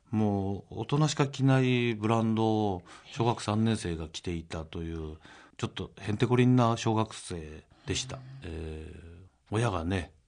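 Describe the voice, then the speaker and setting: A man with an unremarkable speaking voice, fairly low in pitch, at a moderate pace with ordinary pitch variation. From Gunma, Japan. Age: 50s. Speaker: company president. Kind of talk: radio interview. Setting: studio.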